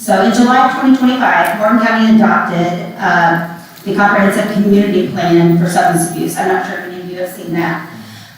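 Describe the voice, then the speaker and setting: Recorded with noticeable background noise and audible room echo, a woman speaks with an American accent at a medium pitch with ordinary pitch variation. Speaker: public commenter, mental health counselor. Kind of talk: public comment at a hearing. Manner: loud.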